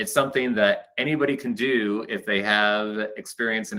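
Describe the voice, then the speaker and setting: A man speaks at a fairly slow pace with a bright, sharp tone. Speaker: presenter at a programming meetup. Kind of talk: technical presentation.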